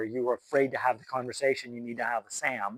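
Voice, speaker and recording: A man with an American accent in an ordinary speaking voice, at medium pitch and a fairly quick pace, with a dry, close sound and no echo. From US, rural mountain mining town. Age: 60s. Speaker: guest speaker at a university. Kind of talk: talk to students, informal Q&A.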